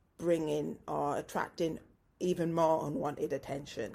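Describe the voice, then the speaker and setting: A woman's very deep, low voice with vocal fry, fairly even intonation and a moderate pace, on a very clean recording with a silent background. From northern England, West Yorkshire. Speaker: podcast host. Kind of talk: casual interview chat.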